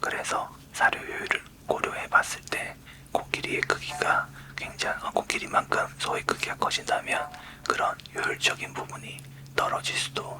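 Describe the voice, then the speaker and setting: A man whispers at a fairly slow pace. Noticeable background noise sits behind him. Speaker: university professor of smart livestock science. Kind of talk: lecture-style explanation in ASMR whisper series. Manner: soft-spoken, close-mic, explanatory.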